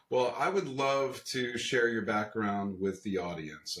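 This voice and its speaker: In an American accent, a man talks at a moderate pace with medium pitch and ordinary pitch variation, an ordinary speaking voice. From US, Pennsylvania (Bucks County). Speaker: podcast host. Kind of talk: podcast interview.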